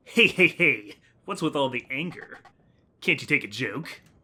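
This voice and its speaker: Using a raspy, put-on character voice, a man talks at a moderate pace with a fairly high pitch and lively intonation. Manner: mocking, taunting.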